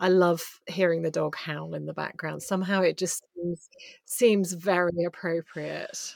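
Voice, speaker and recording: Speaking in an English accent, a woman takes a fairly slow pace. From England. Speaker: podcast host and coach. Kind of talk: casual interview.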